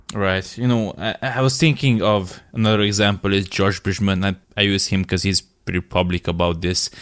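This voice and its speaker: A plain, everyday voice at a moderate pace with hardly any pauses, very even loudness and ordinary pitch variation on a very clean recording with a silent background. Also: man, fairly low pitch for a man. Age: 20s. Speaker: podcast host and fitness coach. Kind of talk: casual interview chat.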